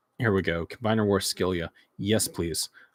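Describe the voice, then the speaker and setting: Moderate-paced speech from a man with a fairly low pitch and ordinary pitch variation, on a very clean recording with a silent background. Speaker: toy collector streamer. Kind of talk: casual livestream commentary. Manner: halting.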